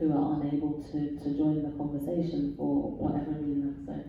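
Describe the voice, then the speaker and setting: There is audible room echo around this woman's voice. She speaks at a moderate pace with a very deep, low pitch. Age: 40s. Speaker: panelist. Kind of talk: panel discussion.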